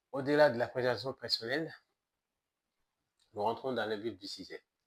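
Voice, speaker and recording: This man speaks at a moderate pace, with ordinary pitch variation. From Mali. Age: 30s. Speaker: activist and entrepreneur. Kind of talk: political presentation to camera.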